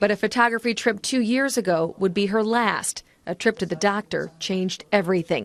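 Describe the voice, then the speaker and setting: An ordinary speaking voice, a woman at medium pitch talks at a fairly quick pace with hardly any pauses and ordinary pitch variation, sounding dry and close with no echo over a quiet background. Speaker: TV news reporter. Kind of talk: TV news report.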